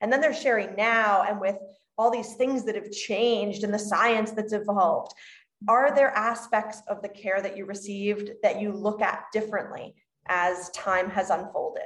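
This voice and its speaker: A woman's unremarkable speaking voice, moderately paced and fairly high-pitched, with fairly even intonation. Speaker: podcast host and midwife. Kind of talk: interview intro and conversational interview.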